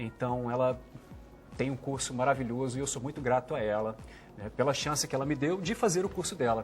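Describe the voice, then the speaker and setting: A man talks fairly quickly with ordinary pitch variation while music plays in the background. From Brazil, Brasília. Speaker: voice actor. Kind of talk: interview. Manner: clear diction.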